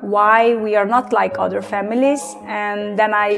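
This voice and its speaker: Over music in the background, a woman speaks with a Hungarian accent at a very slow pace. Her pitch is fairly high and her intonation fairly even. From Transylvania, Romania (Hungarian minority). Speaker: testimony guest. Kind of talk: testimony. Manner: halting, many fillers.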